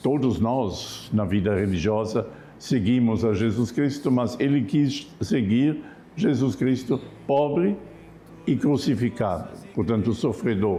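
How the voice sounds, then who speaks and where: A man with a dark, mellow tone speaks at a very slow pace, his pitch medium and his loudness very even. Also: lively intonation. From Germany. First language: German (speaking Portuguese). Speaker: Franciscan friar. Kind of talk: TV interview on religion.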